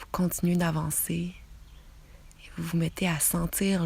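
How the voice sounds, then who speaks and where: A soft-spoken woman with a Quebec accent, calm in tone, at a very slow pace. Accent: Québécois French. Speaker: meditation guide. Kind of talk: guided relaxation visualisation. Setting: outdoors, birds audible. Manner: soft, calm.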